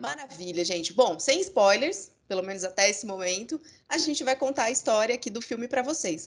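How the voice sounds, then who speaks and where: With very wide pitch swings, a woman speaks fairly quickly at a fairly high pitch. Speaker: podcast co-host. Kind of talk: casual chat.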